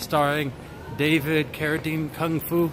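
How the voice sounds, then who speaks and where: With music playing in the background, a man talks at a fairly slow pace. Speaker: live-stream street vlogger. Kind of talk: casual live-stream talk to camera. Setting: outdoors.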